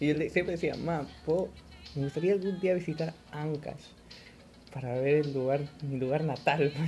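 A man's fairly high-pitched, fairly slow speech with fairly even intonation and long, frequent pauses. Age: 20s. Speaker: podcast host. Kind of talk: casual chat.

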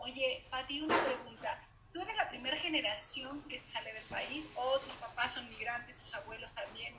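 A woman speaks in a high voice with ordinary pitch variation and big swings in loudness. Background noise is noticeable. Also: moderate pace. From Uruguay. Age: 40s. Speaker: podcast host. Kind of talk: casual chat.

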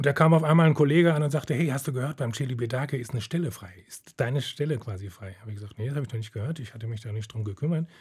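A somewhat breathy man talks at a very fast pace with hardly any pauses, at a medium pitch with ordinary pitch variation. His loudness swings widely, and the recording is very clean with a silent background. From Germany, Detmold (East Westphalia). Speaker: retired orchestra cellist. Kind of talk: interview.

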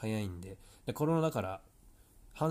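The recording is very clean, its background silent. A man talks with lively intonation. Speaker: tennis coach and podcast host. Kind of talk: solo podcast monologue. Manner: casual with frequent fillers.

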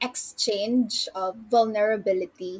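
At a fairly slow pace, a woman with a normal speaking voice talks at a fairly high pitch with fairly even intonation. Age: 20s. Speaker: magazine writer. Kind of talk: casual interview.

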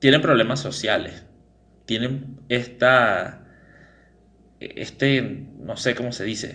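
Speaking at a very slow pace with long, frequent pauses, a man uses vocal fry, fairly even intonation and a bright, sharp tone. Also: medium pitch for a man. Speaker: podcast host. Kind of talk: casual chat.

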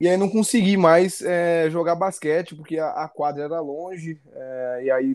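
A man with a high-pitched voice. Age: 20s. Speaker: coffee specialist and CrossFit athlete. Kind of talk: casual chat.

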